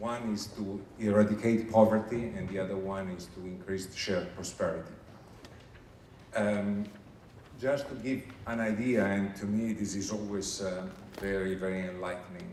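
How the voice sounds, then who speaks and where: A man with an Italian accent and fairly low pitch, with fairly even intonation and long, frequent pauses, plus audible room echo and noticeable background noise. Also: moderate pace. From Italy. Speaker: HR manager at international organization. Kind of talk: recruitment presentation. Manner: hesitant with frequent fillers.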